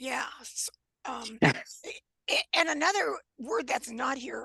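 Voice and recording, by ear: Using a put-on character voice, a woman talks at a fairly slow pace with a high, raspy pitch, very wide pitch swings and big swings in loudness.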